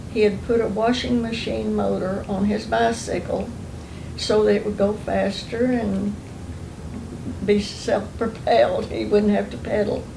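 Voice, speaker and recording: A woman with an Oklahoma accent speaks at a fairly slow pace. Noticeable background noise and audible room echo are present. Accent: Oklahoma Southern US. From Oklahoma, US. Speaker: oral history interviewee. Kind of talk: oral history interview.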